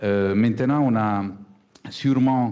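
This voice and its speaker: A man speaks with a slight Italian accent. His pitch varies in an ordinary way. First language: Italian (speaking French). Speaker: business school executive. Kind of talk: panel discussion. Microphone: choppy connection.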